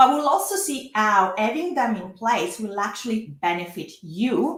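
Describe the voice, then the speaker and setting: In a strong Italian accent, a somewhat breathy woman speaks with audible room echo. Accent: thick Italian. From Italy. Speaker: lawyer. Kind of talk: webinar presentation. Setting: live online workshop. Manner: frequent hesitations.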